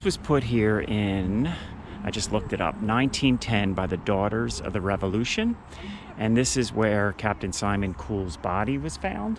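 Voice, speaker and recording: A man with an American accent speaks at a moderate pace and a fairly low pitch, with ordinary pitch variation. Noticeable background noise runs under his voice. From Philadelphia, US. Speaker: history vlogger. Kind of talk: casual vlog narration outdoors. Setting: outdoors on a trail. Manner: hesitant, filler words.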